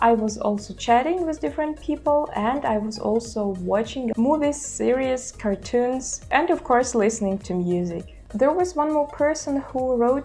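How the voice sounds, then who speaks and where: Music plays in the background as a woman with a Russian accent speaks at a fairly slow pace. Her pitch is high and her intonation lively. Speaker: language-learning YouTuber. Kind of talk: casual vlog talk. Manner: hesitant with filler sounds.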